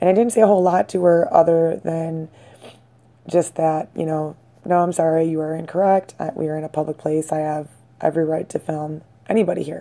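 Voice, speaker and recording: With a dark, mellow tone and fairly low pitch, a woman talks at a fairly quick pace. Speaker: citizen video maker. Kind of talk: personal account to camera. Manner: hesitant with fillers.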